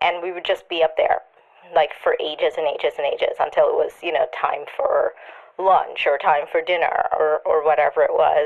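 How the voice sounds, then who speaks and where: Through noticeable background noise, a woman talks at a moderate pace. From Trinidad. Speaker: children's author. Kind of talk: voice memo.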